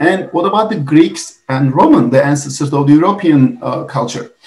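Audible room echo surrounds a man whose fairly high voice is somewhat breathy. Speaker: biomedical science teacher and researcher. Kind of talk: webinar presentation. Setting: video call. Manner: fast talker. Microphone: webcam.

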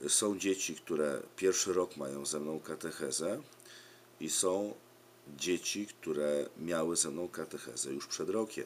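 A man with a Polish accent speaks at a fairly slow pace. His pitch is very deep and low, with light background noise. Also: ordinary pitch variation. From Poland. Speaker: preschool religion teacher. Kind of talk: direct-to-camera appeal for survey. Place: home room. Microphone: webcam.

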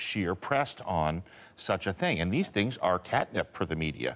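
A man is speaking. His pace is moderate. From Canada. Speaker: political strategist; panelist. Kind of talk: panel discussion. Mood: critical, emphatic. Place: studio.

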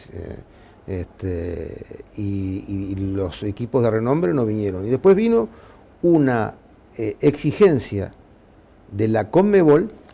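With lively intonation, a man speaks at a fairly slow pace in a dark, mellow tone. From Uruguay. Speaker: football club president; interviewee. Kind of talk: interview. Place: office. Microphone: lapel.

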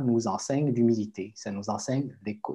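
A man with a medium pitch speaks against a quiet background. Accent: Spanish. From Quebec. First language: Spanish (speaking French). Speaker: writer; guest. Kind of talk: panel discussion. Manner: halting. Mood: thoughtful, calm. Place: home room. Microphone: video call.

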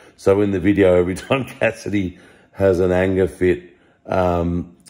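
A man speaks at a moderate pace in a low pitch, with a slightly mellow tone. His pitch moves very little.

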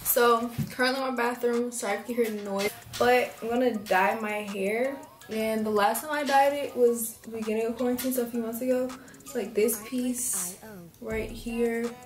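With audible room echo and faint background music, the speech moves at a moderate pace with fairly even intonation. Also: woman. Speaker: hair vlogger. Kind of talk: casual tutorial vlog chat. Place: bathroom. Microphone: phone near.

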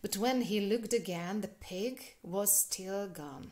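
In a natural reading voice, the speaker shows ordinary pitch variation.

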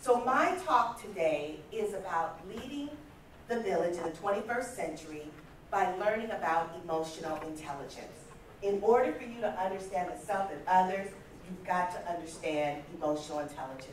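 Over light background noise and audible room echo, a woman speaks at a moderate pace. Her pitch swings very widely. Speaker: conference speaker. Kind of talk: motivational talk. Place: hall. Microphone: camera far.

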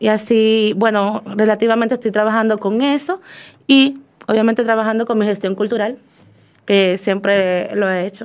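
A woman's plain, everyday voice, fairly high in pitch, with fairly even intonation at a moderate pace against a quiet background. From Dominican Republic. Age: young. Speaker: poet. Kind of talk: interview. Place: studio.

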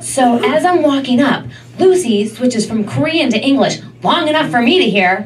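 A woman's high-pitched voice with very wide pitch swings, over light background noise. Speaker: stand-up comedian. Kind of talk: stand-up comedy. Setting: stage with audience. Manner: animated, sassy, mimicking dramatic girl voices. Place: stage.

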